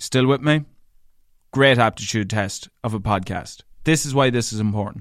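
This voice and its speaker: Speaking with a strong northwestern Irish accent, a man keeps a moderate pace and medium pitch, ordinary pitch variation, and long, frequent pauses. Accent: thick rural Irish (northwest). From Ireland, County Leitrim. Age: 30s. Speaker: radio broadcaster and DJ. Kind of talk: solo podcast monologue. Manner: animated, chatty storyteller.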